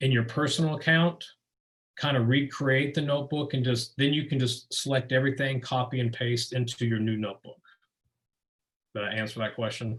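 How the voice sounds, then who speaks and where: This man's voice sits at a medium pitch and is somewhat breathy. He talks at a fairly quick pace with fairly even intonation. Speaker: presenter of a teacher webinar. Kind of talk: webinar presentation with Q&A. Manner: fast.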